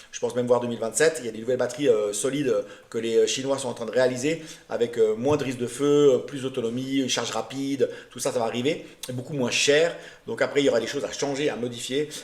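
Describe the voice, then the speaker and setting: A man talks very fast at a medium pitch, his intonation fairly even, with noticeable background noise behind him. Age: 50s. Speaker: vlogger. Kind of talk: casual vlog presentation. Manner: hesitant, many fillers.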